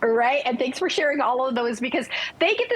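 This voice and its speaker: Over noticeable background noise, a woman speaks high in pitch, in an upbeat, enthusiastic tone with lively intonation. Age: 60s. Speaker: lifestyle consultant promoting a skincare product. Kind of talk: sales pitch on TV morning show.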